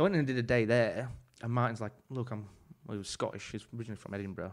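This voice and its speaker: A man speaks very fast with an English accent. His pitch is medium, with ordinary variation. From England. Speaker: chef. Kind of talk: casual chat. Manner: animated.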